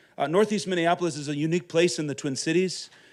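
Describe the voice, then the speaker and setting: A loud, very fast man at a high pitch, with fairly even intonation, on a very clean recording with a silent background. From Minnesota, US Upper Midwest. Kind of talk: conference talk.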